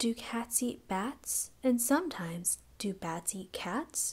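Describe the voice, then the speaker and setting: A soft-spoken woman talks at a fairly high pitch. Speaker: ASMR reader. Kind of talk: sleep story. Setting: binaural recording.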